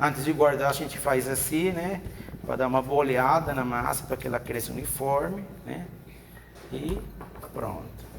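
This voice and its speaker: A man with a non-native accent and medium pitch, moderate pace, long and frequent pauses, audible room echo and noticeable background noise. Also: ordinary pitch variation. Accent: foreign Spanish-speaking accent in Portuguese. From Venezuela. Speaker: chef and cooking professor. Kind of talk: cooking demonstration with casual chat. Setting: video podcast studio with cooking set.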